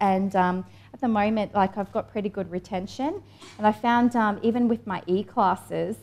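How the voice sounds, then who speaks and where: With music in the background, a woman with an Australian accent talks at a fairly quick pace, her medium pitch showing ordinary variation. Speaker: online entrepreneur, fashion designer. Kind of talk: conference presentation. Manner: casual, filler-heavy.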